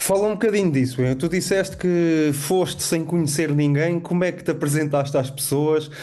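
A man's fairly high voice at a moderate pace with hardly any pauses, fairly even in intonation, with audible room echo. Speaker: co-host. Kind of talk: interview conversation.

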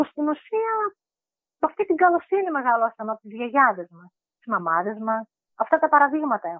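A woman with a high voice speaks at a moderate pace, with very wide pitch swings and big swings in loudness. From Greece, Thrace (Evros, village near Orestiada). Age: 40s. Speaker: homemaker. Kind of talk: interview. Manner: halting, with fillers.

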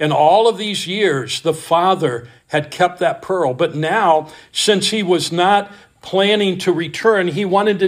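Ordinary pitch variation runs through plain reading aloud.

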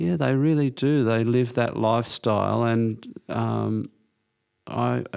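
With an Australian accent, a man speaks at a fairly slow pace in a medium pitch with ordinary pitch variation. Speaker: podcast co-host. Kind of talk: casual chat.

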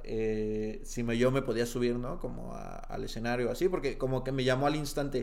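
Audible room echo surrounds a man of medium pitch who speaks with fairly even intonation. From Mexico, Jalisco (Tepatitlán de Morelos). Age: 20s. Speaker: stand-up comedian. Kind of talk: casual chat.

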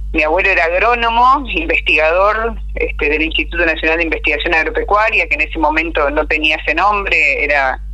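Someone with a Uruguayan accent talks at a fairly quick pace over noticeable background noise. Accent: Uruguayan Spanish (rioplatense). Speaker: agricultural communicator. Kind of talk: interview.

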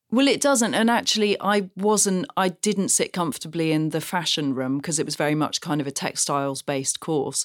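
In a southern English accent, the speaker talks at a fairly quick pace with very wide pitch swings. The very clean recording has a silent background and a dry, close sound with no echo. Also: woman, fairly low pitch for a woman. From England, Gloucestershire. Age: 40s. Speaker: shoe designer. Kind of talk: interview. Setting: studio.

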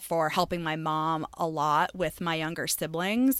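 On a very clean recording with a silent background, a woman with an American accent speaks in an unremarkable speaking voice, fairly low in pitch and at a fairly slow pace. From Maine, US. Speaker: shop owner and podcast host. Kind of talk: casual interview.

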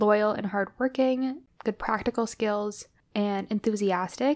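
On a very clean recording with a silent background, a woman with an ordinary speaking voice talks at a fairly slow pace in a fairly high pitch with ordinary pitch variation. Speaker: podcast host. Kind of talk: casual chat.

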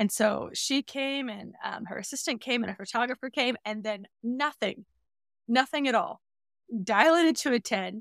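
An ordinary speaking voice with ordinary pitch variation moves at a moderate pace. The sound is dry and close, with no echo. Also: woman, very clean recording, silent background. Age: 30s. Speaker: mother sharing birth stories. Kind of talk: interview, personal birth story.

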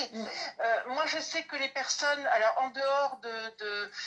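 A woman speaks in a raised, projected voice. Her pitch is high, with ordinary variation. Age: 60s. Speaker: card reader, medium. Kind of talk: casual live-stream chat.

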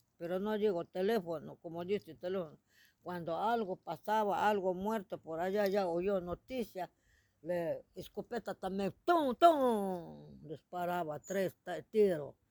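In an Ecuadorian Amazon accent, the speaker moves at a fairly slow pace on a very clean recording with a silent background. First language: Shuar (speaking Spanish). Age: old. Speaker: Shuar elder. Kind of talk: interview. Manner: halting.

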